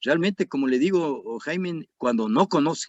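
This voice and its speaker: His voice sits high and he talks fairly slowly. The pitch leaps up and down over a very wide range. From Ecuador. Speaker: retired army colonel, security analyst. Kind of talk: interview.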